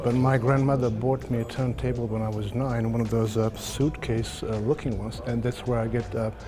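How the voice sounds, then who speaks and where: Music plays in the background. The voice runs at a fairly quick pace with monotone, flat intonation. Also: man. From former Yugoslavia. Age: 60s. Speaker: audio dealer. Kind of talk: interview. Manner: halting.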